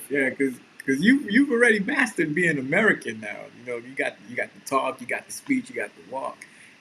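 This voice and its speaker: Fairly quick speech from a man with a New York accent, against noticeable background noise. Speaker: podcast co-host. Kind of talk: casual chat.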